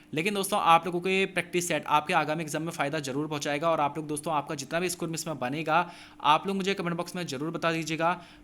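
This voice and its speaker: Bright and sharp in tone, the voice moves at a moderate pace with fairly even intonation and hardly any pauses. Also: man, high pitch for a man. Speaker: exam coaching teacher. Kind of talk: tutorial.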